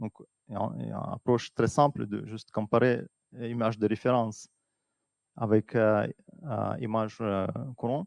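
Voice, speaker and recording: In a Russian accent, a man at medium pitch talks at a fairly slow pace with long, frequent pauses and fairly even intonation, the sound dry and close with no echo. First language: Russian (speaking French). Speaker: atmospheric scientist. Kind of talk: conference talk. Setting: stage with audience. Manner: halting.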